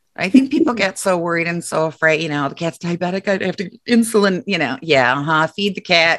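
A woman's plain, everyday voice, fairly low in pitch, with lively intonation, a fairly quick pace and hardly any pauses. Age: 50s. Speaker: podcast co-host. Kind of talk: casual chat.

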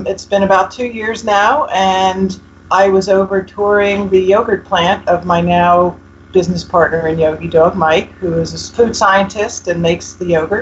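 With an American accent, a woman speaks at a moderate pace in a medium pitch, somewhat breathy, with ordinary pitch variation. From US Northeast, North Jersey. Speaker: pet food company founder. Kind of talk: interview.

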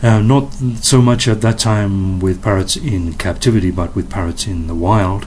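A speaker with an English accent talks at a fairly slow pace amid noticeable background noise and audible room echo. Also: man. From England. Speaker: parrot conservation foundation director. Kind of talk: interview. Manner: hesitant with fillers.

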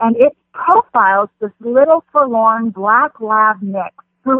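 With lively intonation and fairly high pitch, a woman talks in an ordinary speaking voice. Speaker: film festival director. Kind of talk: casual chat.

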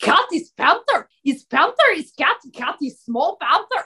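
A woman puts on a character voice with an extremely high pitch and very wide pitch swings, speaking at a fairly slow pace.

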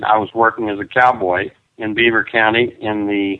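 The man's voice is pitched in the middle range. He talks at a fairly slow speed. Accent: West Texas. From Texas panhandle, Perryton. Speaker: children's author and rancher. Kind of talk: interview. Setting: remote call with students present.

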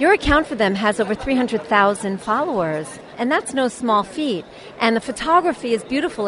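A woman speaks at a fairly quick pace with a fairly high pitch and lively intonation, crowd noise audible behind her. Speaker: radio host. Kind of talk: radio dj patter, upbeat show intro and sponsor break link. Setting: trade show floor, on location interviews. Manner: bright, chatty, polished broadcaster cheer.

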